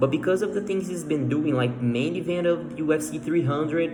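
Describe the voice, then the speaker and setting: A voice in a Portuguese accent with ordinary pitch variation, audible room echo and noticeable background noise. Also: man. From Brazil. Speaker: MMA fan commentator. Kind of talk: casual monologue. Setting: at home. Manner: halting, many fillers and repeats.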